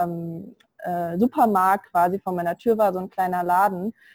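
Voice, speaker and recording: A woman at a moderate pace, ordinary pitch variation, the sound dry and close with no echo. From Germany. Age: 20s. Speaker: virtual assistant, self-employed. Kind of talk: interview. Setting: online call from India.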